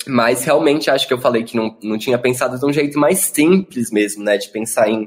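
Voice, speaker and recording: A man speaks at a medium pitch with ordinary pitch variation. His pace is fairly quick. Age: 20s. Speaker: drag performer. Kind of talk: casual chat. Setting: video call. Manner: animated.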